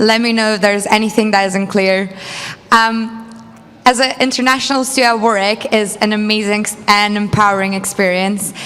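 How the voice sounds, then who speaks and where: Music plays in the background as a woman talks with a Lithuanian accent. Her fairly high pitch stays in a monotone, flat intonation. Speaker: student election candidate. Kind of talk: campaign speech.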